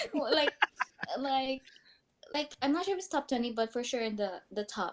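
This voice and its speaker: At a moderate pace, a woman talks at a high pitch with lively intonation. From Philippines. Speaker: student and podcaster. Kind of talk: casual chat.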